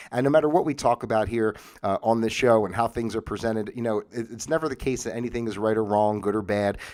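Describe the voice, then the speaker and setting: Very fast delivery with hardly any pauses, in an American accent, on a very clean recording with a silent background. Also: man, medium pitch for a man, ordinary pitch variation. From US Northeast. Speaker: talk show host. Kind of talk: livestream monologue. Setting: home livestream. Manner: casual, halting with many fillers.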